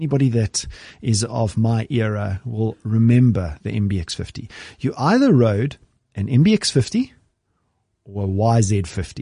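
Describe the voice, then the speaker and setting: A man speaks at a medium pitch and a moderate pace, his dark, mellow tone somewhat breathy, with ordinary pitch variation over a quiet background. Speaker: podcast host. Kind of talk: casual chat. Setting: studio.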